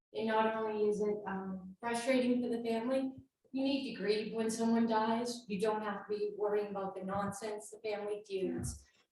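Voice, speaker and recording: A woman with a fairly high voice speaks in a flat monotone, with audible echo in the room. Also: moderate pace. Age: 50s. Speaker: insurance and investment advisor. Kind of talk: presentation.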